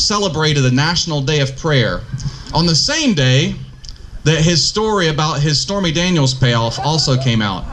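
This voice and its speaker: A man with a north Georgia accent speaks in a fairly high voice with lively intonation. There is audible room echo and noticeable background noise. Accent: Southern (north Georgia). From US South, northeast Georgia. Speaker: political candidate. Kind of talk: campaign speech. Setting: outdoor park pavilion forum.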